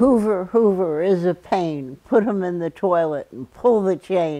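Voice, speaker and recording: Woman with a dark, mellow tone, lively intonation and fairly slow pace. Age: 80s+. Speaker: activist and scientist. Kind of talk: oral history interview.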